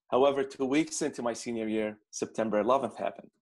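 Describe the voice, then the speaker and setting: A man talks at a moderate pace in an Arabic accent. His medium pitch shows ordinary variation over a quiet background. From Baghdad, Iraq. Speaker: immigrant student consultant. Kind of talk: interview conversation.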